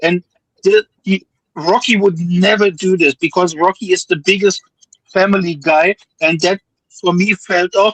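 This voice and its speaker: Speaking at a fairly slow pace with a non-native accent, a man with a high pitch shows ordinary pitch variation, recorded with a dry, close sound with no echo. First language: not English. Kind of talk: casual chat. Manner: halting.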